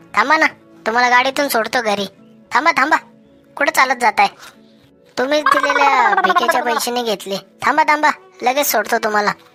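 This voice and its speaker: A female-sounding voice performs a cartoonish character voice at a high pitch and moderate pace. Faint music plays in the background. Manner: cheeky, self-assured.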